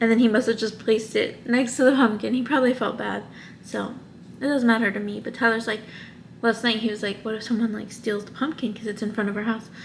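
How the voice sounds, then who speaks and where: A woman talks at a fairly quick pace in a fairly high, somewhat breathy voice. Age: 20s. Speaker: lifestyle vlogger. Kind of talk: casual talk to camera. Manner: chatty.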